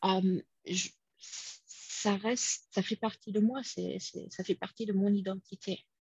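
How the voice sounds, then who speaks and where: In an English accent, a woman speaks fairly slowly at medium pitch, her voice somewhat breathy. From United States. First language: English (speaking French). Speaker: conference interpreter and home cook. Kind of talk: casual interview. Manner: hesitant, many repetitions.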